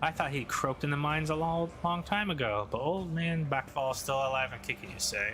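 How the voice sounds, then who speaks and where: A man uses a raspy, put-on character voice at a moderate pace. Loud background noise runs underneath. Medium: game stream. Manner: brash, streetwise.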